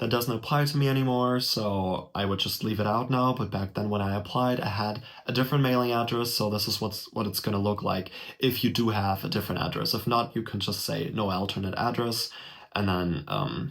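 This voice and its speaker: This is a man with a German accent. He talks at a fairly quick pace. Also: fairly low pitch for a man, ordinary pitch variation. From Germany. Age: 20s. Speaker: YouTuber. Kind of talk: tutorial. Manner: casual. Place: home room. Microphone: webcam.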